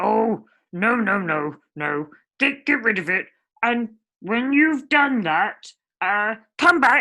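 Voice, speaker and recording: A female-sounding put-on character voice is used. It moves at a very slow pace. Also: fairly high pitch for a woman. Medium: read story.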